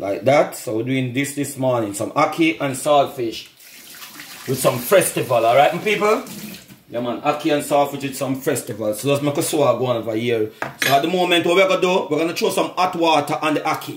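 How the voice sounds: Audible room echo surrounds a man speaking at a fairly quick pace. His pitch is medium, and his intonation is lively.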